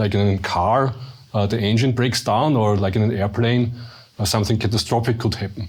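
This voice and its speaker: This man's voice is fairly low-pitched and somewhat breathy. He speaks at a fairly quick pace with fairly even intonation. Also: very even loudness. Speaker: research director. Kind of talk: panel interview.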